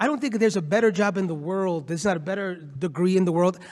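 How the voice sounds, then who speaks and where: Loud and animated, a man speaks at a fairly quick pace with a high pitch. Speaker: nonprofit CEO and law professor. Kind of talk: panel discussion. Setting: conference stage with audience.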